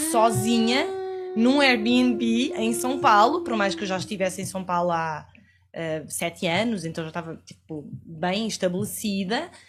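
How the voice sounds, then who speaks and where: A woman with a European Portuguese accent, somewhat breathy, at a fairly slow pace with very wide pitch swings. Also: fairly low pitch for a woman. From Portugal. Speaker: podcast guest. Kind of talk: casual interview chat.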